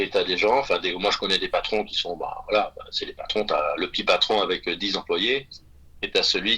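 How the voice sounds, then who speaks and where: A man keeps a medium speed while noticeable noise plays in the background. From Brittany, France. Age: 60s. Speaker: private chef. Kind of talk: podcast interview. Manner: halting, many fillers.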